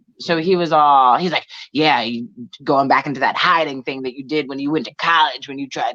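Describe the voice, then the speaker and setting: With an American accent, a woman talks at a fairly quick pace in a very deep, low voice. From New Jersey. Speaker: comedian. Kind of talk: casual chat. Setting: live video stream. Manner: fast; mumbling.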